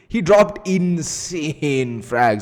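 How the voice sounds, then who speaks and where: Speaking with a strong Indian accent, a man uses a high pitch, an animated tone and lively intonation. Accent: Indian accent, self-described as strong. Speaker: esports caster. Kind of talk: live commentary; casual chat. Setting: live stream.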